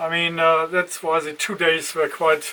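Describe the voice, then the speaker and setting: A man at a high pitch, moderate pace, and noticeable background noise. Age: 60s. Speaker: solo hiker vlogger. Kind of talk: casual vlog monologue. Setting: outdoors at a bus stop. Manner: hesitant, many fillers.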